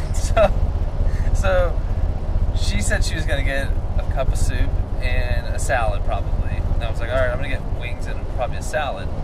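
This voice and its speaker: A man at a moderate pace with long, frequent pauses, over loud background noise. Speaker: vlogger. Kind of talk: casual vlog chat, storytelling. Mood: playful, defensive banter. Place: car. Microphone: camera far.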